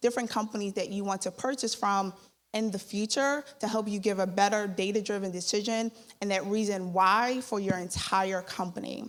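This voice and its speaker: A woman with an American accent and an unremarkable speaking voice, medium-pitched, at a moderate pace, with fairly even intonation, on a very clean recording with a silent background. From Philadelphia, US. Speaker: startup founder. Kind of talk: sales pitch.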